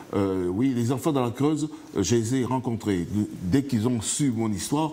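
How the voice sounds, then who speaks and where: A man at medium pitch, ordinary pitch variation and very even loudness, over noticeable background noise. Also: moderate pace. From Martinique. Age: 60s. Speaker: author, interview guest. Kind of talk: TV interview. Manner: halting.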